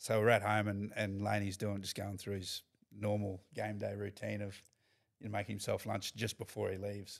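A man with an Australian accent at a fairly low pitch, monotone and flat, at a moderate pace, in a very clean recording with a silent background. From North Queensland, Australia (Mackay). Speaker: professional rugby league player. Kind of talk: casual chat.

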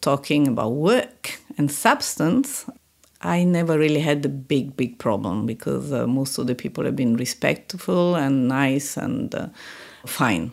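Speaking fairly slowly with an Italian accent, a woman uses lively intonation and a very deep, low pitch. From Italy. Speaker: senior international aid official. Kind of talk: interview. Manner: halting.

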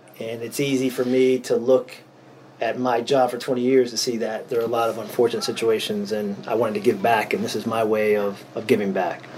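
Monotone, flat intonation from a man at medium pitch and a fairly quick pace, with noticeable background noise. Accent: western Pennsylvania. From Erie, Pennsylvania. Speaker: retired state trooper, nonprofit founder. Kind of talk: interview.

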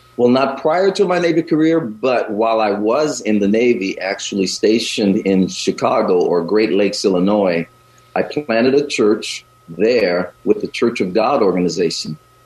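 Man with an American accent, medium pitch and moderate pace, with lively intonation, very even loudness, and noticeable background noise. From US South. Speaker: pastor. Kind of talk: radio interview.

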